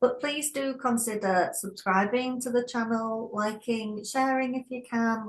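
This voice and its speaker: A woman with a Scottish accent speaks at a fairly high pitch over noticeable background noise. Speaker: therapist podcast co-host. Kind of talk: casual chat.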